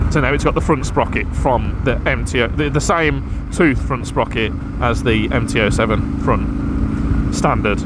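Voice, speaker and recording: A man talks in a room with audible echo and noticeable background noise. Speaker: motorcycle vlogger. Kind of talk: casual motovlog monologue.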